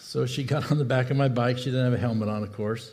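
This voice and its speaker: Talking at a very fast pace, a man with a dark, mellow tone and a somewhat breathy quality holds a medium pitch and fairly even intonation, with audible room echo around him. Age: 70s. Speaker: pastor. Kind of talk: sermon. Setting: church.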